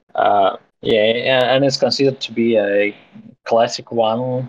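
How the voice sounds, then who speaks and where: A man with a Russian accent, at a fairly slow pace. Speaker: crypto project co-founder. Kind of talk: casual interview. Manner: halting.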